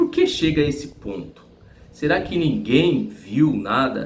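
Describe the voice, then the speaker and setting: A man speaks at a fairly slow pace. There is audible room echo. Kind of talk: religious teaching monologue.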